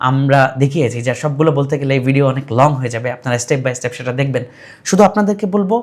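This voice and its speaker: A normal speaking voice is heard here, its pitch moving in an ordinary way. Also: man, fairly high pitch for a man. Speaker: programming and robotics instructor. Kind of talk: course introduction.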